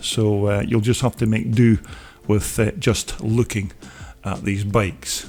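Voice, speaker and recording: A man with a strong Scottish accent, fairly low in pitch, at a fairly slow pace. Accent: Scottish, broad. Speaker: motocross video channel host. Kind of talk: voiceover narration. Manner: many filler words (uh); casual, conversational.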